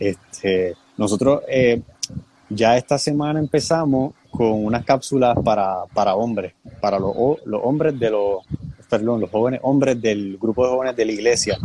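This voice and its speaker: Medium pitch from a man at a moderate pace, an unremarkable speaking voice with ordinary pitch variation. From Puerto Rico. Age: 20s. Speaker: young church leader. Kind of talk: casual chat.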